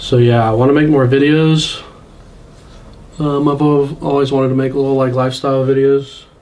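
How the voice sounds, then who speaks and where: A man speaks with an American accent at a moderate pace. His pitch is medium and his intonation monotone and flat. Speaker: vlogger and air force service member. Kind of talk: casual vlog.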